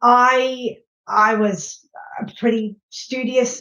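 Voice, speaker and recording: This woman speaks with a British accent. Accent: English (UK). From England, Nottingham (East Midlands). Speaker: clinical software strategy executive. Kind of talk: podcast interview. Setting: podcast recording.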